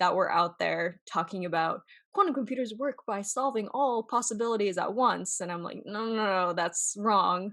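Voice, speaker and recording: With hardly any pauses, the speaker keeps a moderate pace, a bright, sharp tone and ordinary pitch variation over a quiet background. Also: woman, medium pitch for a woman. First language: not English (third language). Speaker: quantum computing researcher and software engineer. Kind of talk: interview. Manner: conversational, many fillers.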